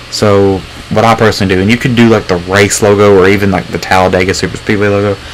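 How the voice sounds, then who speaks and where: A man's fairly low voice at a very fast pace, with monotone, flat intonation and noticeable background noise. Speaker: gaming streamer. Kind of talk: live stream commentary. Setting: home live stream with webcam. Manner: loud; casual, rambling with fillers.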